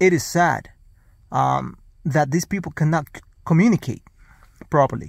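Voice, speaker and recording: A man talks with lively intonation and a somewhat breathy quality on a very clean recording with a silent background. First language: not English. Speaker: vlogger. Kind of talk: casual monologue. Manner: halting.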